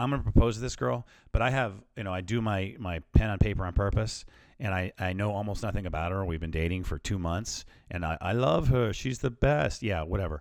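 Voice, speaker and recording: Speaking in a normal speaking voice at a fairly low pitch, a man moves at a fairly quick pace with lively intonation, recorded very cleanly against a silent background. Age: 40s. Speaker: self-help podcaster. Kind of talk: solo motivational talk. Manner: casual, many filler words.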